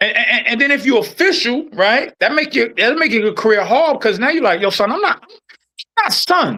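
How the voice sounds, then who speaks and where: A man with an American accent speaks in a raised, projected voice at an extremely high pitch, his animated tone sweeping through very wide pitch swings while his loudness stays very even. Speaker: podcast host, former corrections officer. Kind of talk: casual chat. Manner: fast; animated, halting with repetitions.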